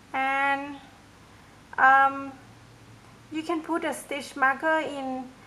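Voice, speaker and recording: Raised and projected, a woman's high, bright, sharp voice moves at a very slow pace in a monotone, flat intonation with long, frequent pauses. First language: not English. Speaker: crochet tutorial maker; crochet instructor. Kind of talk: tutorial. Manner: hesitant, many fillers.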